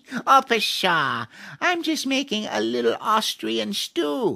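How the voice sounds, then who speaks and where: A put-on character voice, fairly high in pitch, moves at a fairly slow pace. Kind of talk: comic fairy-tale voice acting. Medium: read story. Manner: cackling.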